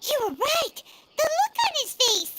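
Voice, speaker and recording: An extremely high, squeaky put-on character voice at a fairly slow pace. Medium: video game. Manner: inquisitive, excitable.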